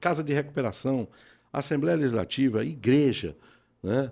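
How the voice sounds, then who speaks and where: A man at medium pitch with vocal fry, on a very clean recording with a silent background. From Brazil, Pernambuco. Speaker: pastor and former radio announcer. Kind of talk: testimony interview.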